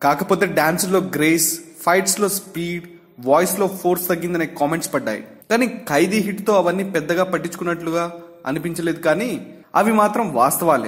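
Using ordinary pitch variation, a man talks in a high-pitched voice. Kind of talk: entertainment news narration.

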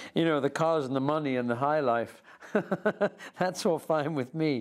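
A man speaks in an unremarkable speaking voice, keeping a moderate pace and ordinary pitch variation, on a very clean recording with a silent background. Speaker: actor. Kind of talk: interview answer.

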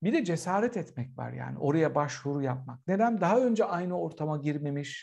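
A man talks at a moderate pace with lively intonation and hardly any pauses. The background is quiet. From Turkey. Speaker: political scientist and professor; guest. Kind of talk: casual chat. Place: home room. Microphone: video call.

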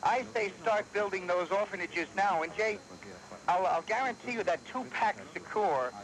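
A man with an American accent speaks at a moderate pace in a high voice. His loudness stays very even, with light background noise. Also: ordinary pitch variation. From New York. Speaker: talk radio caller; radio caller. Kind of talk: call-in to talk radio. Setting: phone line. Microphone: phone line.

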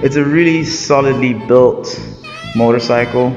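A very slow pace of speech over clear music in the background. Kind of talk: casual vlog chat. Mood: relaxed, pleased. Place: garage. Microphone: phone near.

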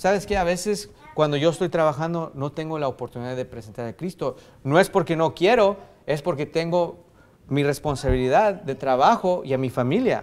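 Intonation is lively while the pace holds moderate. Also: man, fairly high pitch for a man. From US–Mexico border region. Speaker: pastor. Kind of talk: sermon. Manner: halting, many fillers and restarts. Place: church. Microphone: podium.

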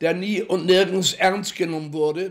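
A man speaks at a very slow pace in a high pitch, with a monotone, flat intonation. The background is quiet. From Hamburg, Germany. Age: 80s+. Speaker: Holocaust survivor, contemporary witness. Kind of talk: interview answer. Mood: earnest, somewhat scornful. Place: home room.

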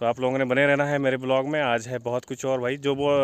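Recorded with a dry sound and no echo, a man talks at a moderate pace over light background noise. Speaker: village vlogger. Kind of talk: casual vlog chat. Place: open country. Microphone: phone near.

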